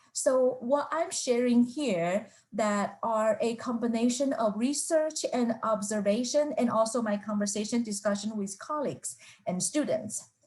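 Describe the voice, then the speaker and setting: Her intonation is lively and her pitch high. The woman keeps a moderate pace. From Taiwan. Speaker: professor. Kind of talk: lecture. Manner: halting, with fillers.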